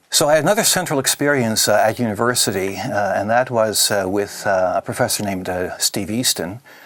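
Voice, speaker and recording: A man with a Canadian accent talks at a fairly quick pace, his medium-pitched voice full of lively intonation. Noticeable background noise runs behind him. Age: 60s. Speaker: author. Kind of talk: interview. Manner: halting, many fillers.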